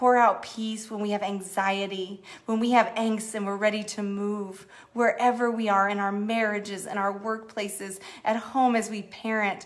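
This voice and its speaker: The tone is warm, with monotone, flat intonation. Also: woman, fairly high pitch for a woman, moderate pace. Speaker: church executive minister leading online prayer. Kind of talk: fervent prayer, earnest spoken petition to God with a hushed, intimate tone. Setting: Facebook Live stream, online church gathering. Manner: warm, heartfelt, sincere, gently pleading and affectionate. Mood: earnest, prayerful. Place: home room. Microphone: phone near.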